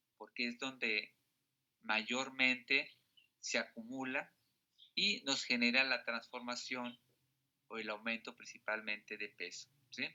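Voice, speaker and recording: Pausing long and often, a man speaks at a very slow pace with medium pitch and fairly even intonation. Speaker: teacher. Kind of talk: lecture.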